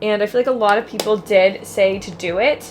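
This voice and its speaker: Over noticeable background noise, a woman talks at a fairly high pitch with ordinary pitch variation. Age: 30s. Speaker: lifestyle vlogger. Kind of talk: casual vlog talk to camera.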